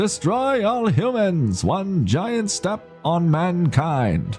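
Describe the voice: A man's put-on character voice, high-pitched and very slow, with clear music in the background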